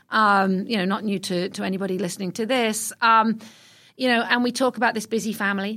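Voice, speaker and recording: Bright and sharp in tone, a woman with a British accent speaks fairly quickly at a fairly high pitch with monotone, flat intonation, on a very clean recording with a silent background. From England (London). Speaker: retail executive. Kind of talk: interview.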